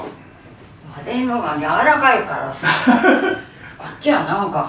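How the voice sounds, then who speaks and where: With audible room echo and light background noise, a woman speaks at a moderate pace in a fairly high pitch with very wide pitch swings. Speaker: elderly mother learning qigong. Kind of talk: casual conversation. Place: empty room. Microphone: camera far.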